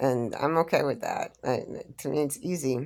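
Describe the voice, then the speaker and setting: A very clean recording with a silent background captures a woman with a very deep, low voice. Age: 60s. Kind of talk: personal monologue on faith. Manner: halting, repetitive.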